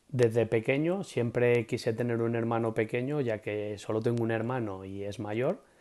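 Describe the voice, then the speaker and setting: A man with a Castilian accent, medium in pitch and dark, mellow in tone, with fairly even intonation, a moderate pace and hardly any pauses, over a quiet background. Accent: Castilian Spanish (central Spain). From Spain, Madrid. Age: 30s. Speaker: preschool teacher. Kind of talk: interview. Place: home room. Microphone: earbuds.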